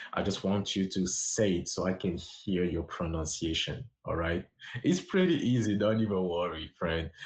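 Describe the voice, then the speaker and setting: A somewhat breathy, fairly low male voice at a moderate pace. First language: French. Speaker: language teacher livestreamer. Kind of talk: livestream language lesson. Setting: livestream on social app.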